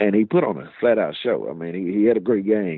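This man talks at a moderate pace with a Mississippi accent, his fairly low pitch carried by lively intonation. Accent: US Southern (Mississippi). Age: 40s. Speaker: high school basketball coach. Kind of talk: casual sports interview. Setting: phone call.

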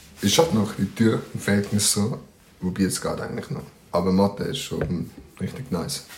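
A man talks at a moderate pace with lively intonation and a fairly low pitch. Noticeable background noise runs underneath. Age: 20s. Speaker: podcast co-host. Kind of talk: casual chat. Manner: laughing a lot.

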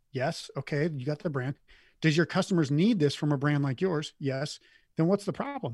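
A man with an American accent, fairly high in pitch and somewhat breathy, at a moderate pace with ordinary pitch variation, dry and close with no echo, on a very clean recording over a silent background. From US Midwest, Montana/North Dakota. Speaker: Amazon business coach. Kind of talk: casual interview.

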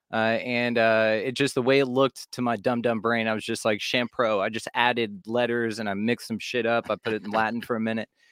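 Someone with a Texan accent talks at a fairly quick pace with hardly any pauses and flat, monotone intonation, in a dry, close sound with no echo on a very clean recording with a silent background. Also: man, medium pitch for a man. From Texas, Fort Worth. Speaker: podcast host (guest). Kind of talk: casual chat.

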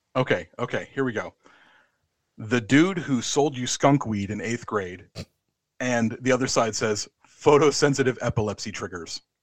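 At a moderate pace, a man with an American accent uses a normal speaking voice at a medium pitch. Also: ordinary pitch variation. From USA. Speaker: wrestling podcast guest host. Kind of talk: casual chat; match review.

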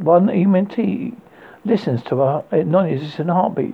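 This man's voice sits fairly high, with lively intonation, vocal fry and a slightly husky edge.

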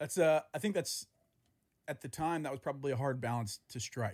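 A man with an American accent, fairly high pitch, a somewhat breathy voice and lively intonation, in a very clean recording with a silent background. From US South. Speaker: podcast host. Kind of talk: casual chat.

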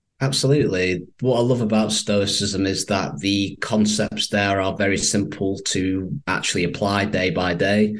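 A man with a Manchester accent talks at a moderate pace and a fairly low pitch, with ordinary pitch variation and hardly any pauses. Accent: northern English, Mancunian. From Manchester, northern England. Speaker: copywriter and stoicism advocate. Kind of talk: interview.

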